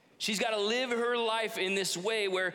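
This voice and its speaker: A man with a high pitch speaks in a raised, projected voice at a moderate pace. There is audible room echo along with noticeable background noise. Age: 30s. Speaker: pastor. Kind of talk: sermon.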